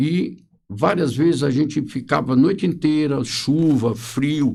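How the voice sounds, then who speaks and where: A man's voice with vocal fry. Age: 70s. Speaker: social security lawyer. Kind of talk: podcast interview.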